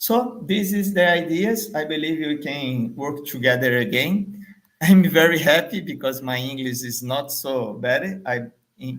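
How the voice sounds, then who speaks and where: In a Portuguese accent, the speaker talks at a fairly slow pace with lively intonation. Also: man. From Brazil, Salvador, Bahia. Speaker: marketing trainer. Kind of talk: business pitch video. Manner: halting, many fillers.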